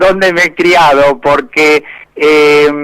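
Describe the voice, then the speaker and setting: A man speaks very slowly in a monotone, flat intonation. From Argentina, inland (Buenos Aires, Córdoba, Santa Fe provinces). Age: 60s. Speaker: cheese industry manager, agronomist. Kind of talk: interview.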